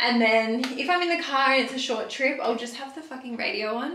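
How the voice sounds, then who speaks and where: A woman with an Australian accent speaks at a fairly quick pace and fairly high pitch with ordinary pitch variation, and the room echo is audible. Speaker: beauty youtuber; beauty vlogger. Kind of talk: casual chat. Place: bathroom. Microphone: camera far.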